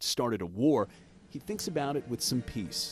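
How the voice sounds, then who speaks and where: A man talks at a moderate pace with a medium pitch. His pitch varies in an ordinary way while music plays behind him. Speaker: TV news reporter. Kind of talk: TV news report narration.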